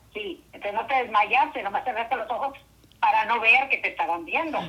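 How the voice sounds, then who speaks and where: A woman speaks at a moderate pace in a fairly high voice. Her pitch rises and falls in an ordinary way. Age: 60s. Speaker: host's mother. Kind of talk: storytelling.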